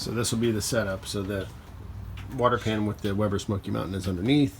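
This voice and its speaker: This man has an ordinary speaking voice, fairly low in pitch. His intonation stays fairly even. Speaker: DIY cooking video host. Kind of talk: casual tutorial vlog.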